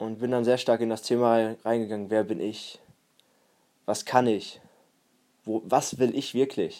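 Speaking at a fairly slow pace with long, frequent pauses, a man with a medium pitch and a dark, mellow tone keeps his intonation fairly even on a very clean recording with a silent background. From Germany, Münsterland (Warendorf). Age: 20s. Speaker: personal development podcaster. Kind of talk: solo podcast monologue.

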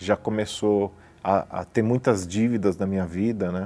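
Here a man speaks with a fairly low pitch and a dark, mellow tone. His intonation stays fairly even. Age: 40s. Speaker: businessman, church member. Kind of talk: testimony. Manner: hesitant, frequent fillers.

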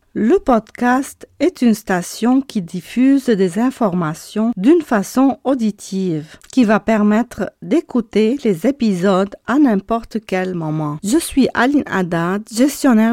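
A woman's dark, mellow tone at a very slow pace, with lively intonation and hardly any pauses, dry and close with no echo, in a very clean recording over a silent background. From abroad, left her country for Canada. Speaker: marketing agency owner. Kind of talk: podcast monologue. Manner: halting.

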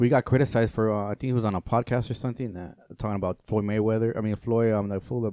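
Speaking at a very fast pace with a Spanish accent, a man at medium pitch comes across in a dry, close sound with no echo. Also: fairly even intonation. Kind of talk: casual chat.

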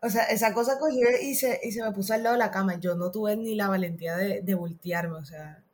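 With a normal speaking voice at medium pitch, a woman talks with hardly any pauses and ordinary pitch variation. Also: fairly quick pace. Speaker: podcast guest. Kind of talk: casual chat.

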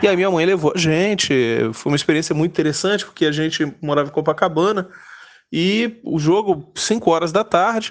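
A man speaks at a fairly quick pace with a high pitch and ordinary pitch variation. The background is quiet. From Brazil, Rio de Janeiro. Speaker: football fan. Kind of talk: personal storytelling. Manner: halting.

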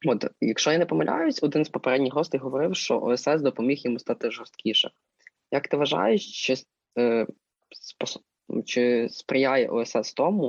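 A man talks in a plain, everyday voice at a moderate pace. His medium pitch has ordinary pitch variation and very even loudness. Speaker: student podcast co-host. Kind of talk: casual interview. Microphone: sound problems.

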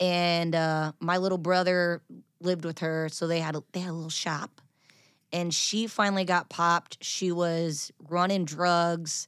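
On a very clean recording with a silent background and a dry, close sound with no echo, a woman speaks fairly slowly in a flat monotone at a fairly low pitch. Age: 30s. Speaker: country singer. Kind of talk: casual chat.

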